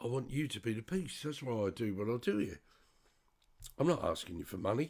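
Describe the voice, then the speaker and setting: A man with an English accent speaks at a fairly quick pace. His medium pitch moves in very wide swings. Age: 60s. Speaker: spiritual commentator. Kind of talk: monologue. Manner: halting.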